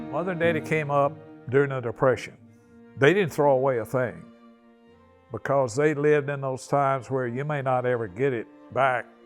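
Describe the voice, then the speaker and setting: A medium-pitched man at a moderate pace, with long, frequent pauses and music in the background. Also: ordinary pitch variation. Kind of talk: interview answer.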